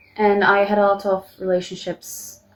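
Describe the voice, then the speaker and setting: The speaker is a woman with a Turkish accent. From Turkey. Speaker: vlogger. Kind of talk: personal vlog confession. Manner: halting.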